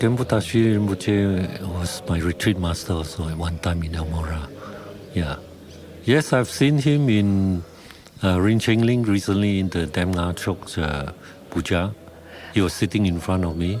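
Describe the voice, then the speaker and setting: A man's very deep, low voice amid noticeable background noise. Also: ordinary pitch variation, moderate pace. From Malaysia. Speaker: Buddhist monk. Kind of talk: interview.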